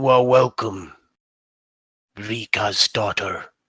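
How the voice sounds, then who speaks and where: A man puts on a raspy character voice at a medium pitch, speaking at a very slow pace. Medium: actual play. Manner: slow, over-pronouncing the wrong syllables.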